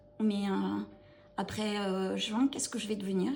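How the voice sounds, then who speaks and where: Noticeable background noise surrounds a woman's voice. She speaks at a fairly slow pace. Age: 50s. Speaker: chronic pain patient. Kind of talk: interview testimony. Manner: halting, many hesitations.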